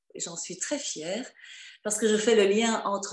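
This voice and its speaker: The woman's voice shows ordinary pitch variation throughout. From Flanders, Belgium. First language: Dutch (Flemish) (speaking French). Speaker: professional coach and author. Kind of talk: interview on video call. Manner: hesitant, many fillers.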